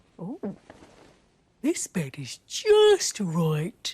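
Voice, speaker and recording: A female-sounding voice at a middle pitch performs a put-on character voice. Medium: read story. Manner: fussy, polite.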